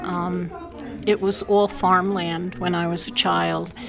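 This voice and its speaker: In an American accent, a woman speaks at a medium pitch. There is noticeable background noise. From Brooklyn, New York (Sunset Park). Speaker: oral history interviewee. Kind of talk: oral history interview. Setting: fire station meeting.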